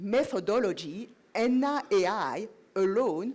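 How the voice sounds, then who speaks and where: A woman speaks with a French accent and lively intonation, captured on a very clean recording with a silent background. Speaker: project manager, conference speaker. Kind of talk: conference talk. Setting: conference stage.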